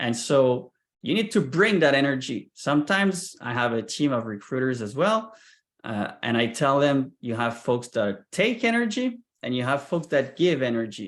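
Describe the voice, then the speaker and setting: Speaking at a moderate pace, a man uses a fairly high pitch with very wide pitch swings. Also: quiet background. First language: not English. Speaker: sales recruiter and founder. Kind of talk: presentation.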